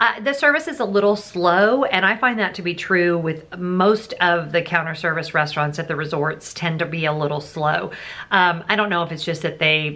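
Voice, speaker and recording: At a moderate pace, a woman with a fairly low pitch speaks in a bright, sharp tone with ordinary pitch variation. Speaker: travel vlogger. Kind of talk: casual vlog chat. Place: home room.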